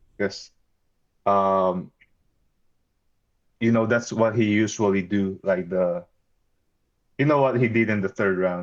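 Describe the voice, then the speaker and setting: A man with a Filipino accent and a fairly low pitch talks at a fairly slow pace, his loudness very even, his intonation fairly even, and his pauses long and frequent. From Philippines. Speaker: battle rapper. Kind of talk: interview. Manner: halting, with many fillers and restarts.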